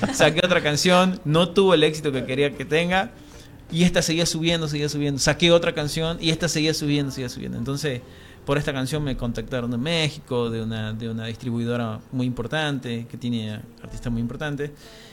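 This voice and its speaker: A man with a fairly high pitch and a strong Tucumán accent, fairly quick, with ordinary pitch variation. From Tucumán, Argentina. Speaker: singer-songwriter. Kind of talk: interview. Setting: radio studio. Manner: halting, repeats words.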